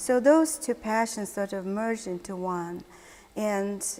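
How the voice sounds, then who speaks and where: A woman speaks with a Mongolian accent. Her pitch is medium. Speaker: art historian and curator. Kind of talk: interview.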